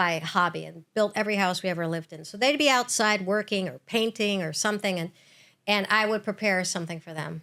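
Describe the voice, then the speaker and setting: A woman talks at a medium pitch with ordinary pitch variation. She has an unremarkable speaking voice. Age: 60s. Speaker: chef. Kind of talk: casual chat. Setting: studio.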